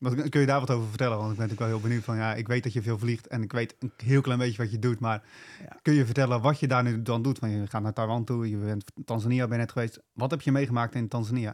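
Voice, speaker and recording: At a very fast pace and with hardly any pauses, a man talks at a medium pitch with fairly even intonation. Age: 20s. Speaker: podcast host. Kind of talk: interview conversation.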